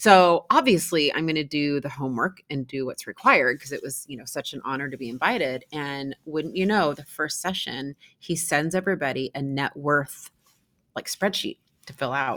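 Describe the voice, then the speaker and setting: This woman speaks with an American accent at a moderate pace, her voice very deep and low, with ordinary pitch variation and big swings in loudness. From US Pacific Northwest, Seattle. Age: 50s. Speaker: real estate investor and industry executive. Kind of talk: interview.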